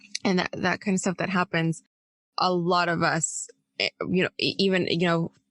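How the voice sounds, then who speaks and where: In a dry, close sound with no echo, a woman of medium pitch speaks at a fairly slow pace. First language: Spanish. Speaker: podcast co-host, intuitive healer. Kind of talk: casual podcast discussion.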